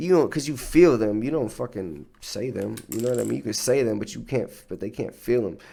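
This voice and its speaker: Using vocal fry, a man talks at a fairly quick pace with hardly any pauses. His intonation is lively and his tone dark and mellow. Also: medium pitch for a man. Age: 20s. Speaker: podcast host. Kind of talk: casual monologue. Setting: livestream.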